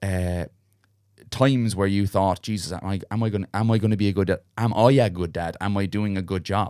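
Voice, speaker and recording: In a very clean recording with a silent background, a man with a Munster accent speaks in a fairly low pitch with a dark, mellow tone. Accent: Irish, Munster. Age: 30s. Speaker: podcast host. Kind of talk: casual interview. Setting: studio.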